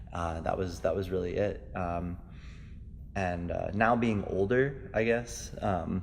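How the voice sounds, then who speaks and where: A man's very deep, low voice, very slow pace, ordinary pitch variation, audible room echo. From New York (South Bronx), moved to Minnesota at ten. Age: 20s. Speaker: martial arts instructor. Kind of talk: interview. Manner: hesitant with many fillers.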